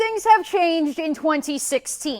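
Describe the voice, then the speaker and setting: At a moderate pace, a woman with a high pitch speaks over noticeable background noise. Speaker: sports anchor / TV host. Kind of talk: TV sports news anchor read.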